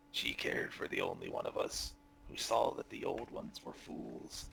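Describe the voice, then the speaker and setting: A raspy put-on character voice from a man, at a moderate pace over clear background noise. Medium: actual play. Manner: cryptic, guarded.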